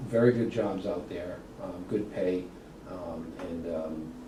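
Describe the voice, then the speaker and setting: A man's very deep voice in a Boston accent, fairly slow and fairly even in intonation, with noticeable background noise and audible room echo. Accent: Boston-area New England. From Massachusetts (Worcester). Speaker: college program coordinator. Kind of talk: interview.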